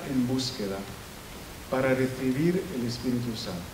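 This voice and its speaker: Audible room echo and noticeable background noise surround a man speaking fairly slowly at a medium pitch. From Italy. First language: Italian (speaking Spanish). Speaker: professor. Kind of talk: lecture. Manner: halting, frequent self-corrections.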